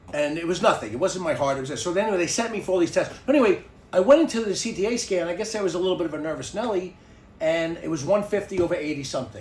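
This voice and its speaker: A man with a New York accent speaks at a very fast pace in a high voice, sounding animated with lively intonation. Noticeable background noise and audible room echo are present. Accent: New York (Bronx). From New York City (the Bronx). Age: 60s. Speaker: podcast host. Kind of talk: casual chat. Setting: home garage studio.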